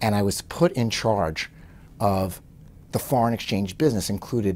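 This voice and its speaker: A fairly low-pitched man at a moderate pace, with ordinary pitch variation. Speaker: interviewee. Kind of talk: interview answer. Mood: relaxed, wry, anecdotal. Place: office.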